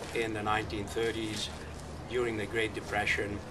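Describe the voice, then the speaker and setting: A man speaks with a Hungarian accent amid noticeable background noise and audible room echo. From Budapest, Hungary. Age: 70s. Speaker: nonprofit founder, activist. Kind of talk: public talk to activist group.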